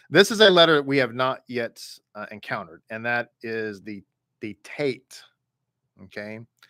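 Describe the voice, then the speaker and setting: In a Texan accent, a man with a bright, sharp tone and medium pitch talks at a fairly slow pace, using lively intonation, big swings in loudness and long, frequent pauses, in a dry, close sound with no echo. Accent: Texan, Southern. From Texas. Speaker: rabbi teaching a Hebrew reading class. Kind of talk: online class lesson. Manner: casual, conversational.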